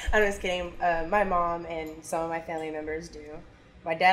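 A woman with an American accent has a plain, everyday voice, a fairly low pitch and a moderate pace. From Kansas City area, Missouri. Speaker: emergency dispatcher and dancer. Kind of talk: casual chat.

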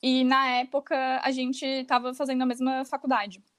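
In a very clean recording with a silent background, a woman speaks in a high pitch. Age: 20s. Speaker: fashion rental entrepreneur. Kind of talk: casual interview chat.

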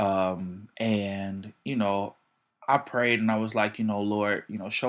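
This is a man with an ordinary speaking voice, fairly low in pitch and fairly even in intonation. The recording is very clean, with a silent background. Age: 20s. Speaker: musician and worship leader. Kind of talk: casual chat.

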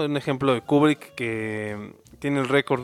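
A man's voice comes through dry and close with no echo, with music playing in the background. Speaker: podcast co-host, arts student. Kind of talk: casual comedic chat. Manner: animated.

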